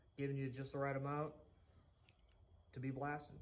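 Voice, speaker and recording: A man's fairly high voice in a Boston accent, with audible room echo. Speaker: woodworking youtuber. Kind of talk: tutorial. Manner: casual, conversational.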